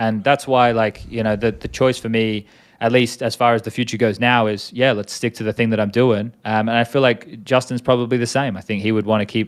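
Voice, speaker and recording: With an Australian accent, a man at a medium pitch talks in a monotone, flat way at a fairly quick pace with hardly any pauses, on a very clean recording with a silent background. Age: 30s. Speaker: esports commentator and former player. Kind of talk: casual interview.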